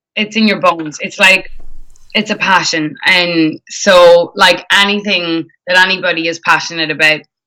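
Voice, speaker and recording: Her tone bright and sharp, a woman with an Irish accent speaks at a fairly low pitch with fairly even intonation. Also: moderate pace. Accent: Irish, often mistaken for Canadian. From Ireland. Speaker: singer. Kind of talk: interview. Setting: live stream interview.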